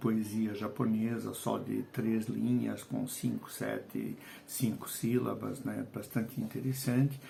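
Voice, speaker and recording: A man talks at a very slow pace. Noticeable background noise runs underneath. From Portugal, Lisbon. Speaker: writer and educator. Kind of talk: video lesson. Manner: hesitant, with fillers.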